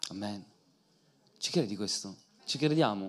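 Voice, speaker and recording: An animated man at a fairly slow pace. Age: 30s. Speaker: preacher and singer; preacher. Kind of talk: sermon. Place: church. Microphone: handheld.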